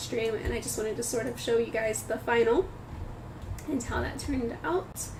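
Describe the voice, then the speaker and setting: A woman talks at a moderate pace with ordinary pitch variation. Noticeable background noise and audible room echo surround her voice. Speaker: artist livestreamer. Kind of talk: casual livestream chat. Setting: livestream. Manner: chatty, frequent fillers.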